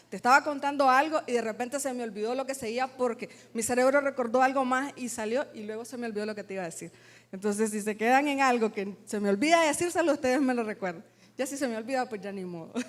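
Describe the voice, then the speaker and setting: A woman with a high pitch, a very fast pace and big swings in loudness. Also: ordinary pitch variation. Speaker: worship singer. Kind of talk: testimony. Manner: combative tone.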